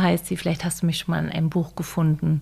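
A woman is speaking. Her pitch sits fairly low. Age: 50s. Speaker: author and online platform founder. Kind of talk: casual chat.

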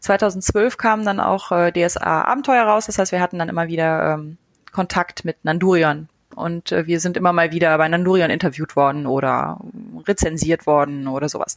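An unremarkable speaking voice talks at a moderate pace with ordinary pitch variation, the sound dry and close with no echo over a quiet background. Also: woman, fairly low pitch for a woman. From western Germany, Eifel. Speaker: podcast host and author. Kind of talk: casual chat.

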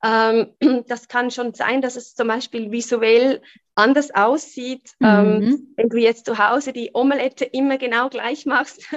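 A plain, everyday voice at a fairly slow pace with fairly even intonation, in a dry, close sound without echo. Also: woman. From Switzerland. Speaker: human design coach. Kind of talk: interview.

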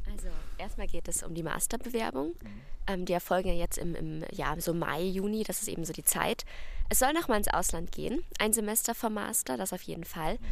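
Over audible room echo, a woman talks at a fairly quick pace. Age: 20s. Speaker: psychology student. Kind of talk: casual chat. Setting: outdoors.

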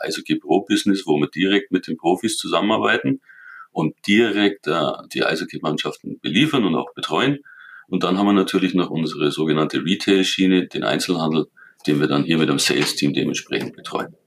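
A fairly quick-paced man, dry and close-sounding, with no echo. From Germany, Allgäu (Kaufbeuren). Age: 50s. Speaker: sporting goods company executive. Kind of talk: interview.

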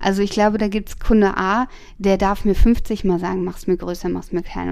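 At a moderate pace, a woman speaks in a plain, everyday voice with a medium pitch. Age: 30s. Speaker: tattoo artist. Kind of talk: casual interview. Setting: at home.

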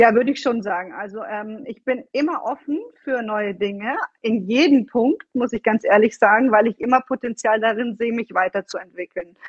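This is a woman talking at a moderate pace. Her pitch varies an ordinary amount. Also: fairly high pitch for a woman. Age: 30s. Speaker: fitness and nutrition coach. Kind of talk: interview. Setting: video call. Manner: animated.

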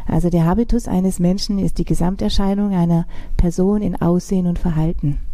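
A woman talks at a fairly quick pace with a Swabian accent. Noticeable background noise is present. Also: medium pitch for a woman. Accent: southern German, Swabian. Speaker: style and strategy consultant. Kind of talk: interview answers.

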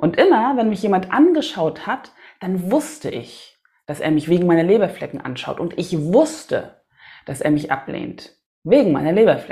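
A woman's medium-pitched voice, dark and mellow in tone and somewhat breathy, with very wide pitch swings at a moderate pace. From Hamburg, northern Germany. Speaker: singer-songwriter and podcast host. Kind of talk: solo podcast monologue.

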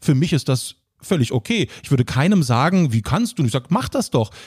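A man talks at a fairly quick pace in a somewhat breathy voice with very wide pitch swings. The recording is very clean with a silent background and a dry, close sound with no echo. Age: 30s. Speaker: social media entertainer and producer. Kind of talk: casual chat.

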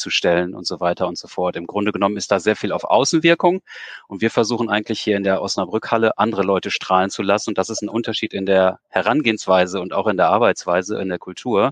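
A man at a fairly low pitch and a very fast pace with hardly any pauses, in a dry, close sound with no echo. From Osnabrück area, northern Germany. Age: 40s. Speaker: event venue manager. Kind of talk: interview.

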